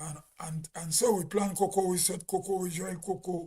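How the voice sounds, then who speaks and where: A man speaks at a fairly slow pace with a Grenadian accent. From Grenada. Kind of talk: casual live stream talk.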